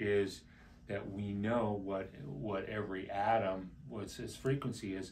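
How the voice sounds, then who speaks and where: A man speaks with a normal speaking voice, pitched fairly low, with ordinary pitch variation. Light background noise can be heard. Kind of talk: explanatory talk to camera.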